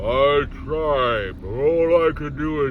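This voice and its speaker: Over clear background noise, a man does a put-on character voice at a fairly high pitch and a very slow pace. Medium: read story.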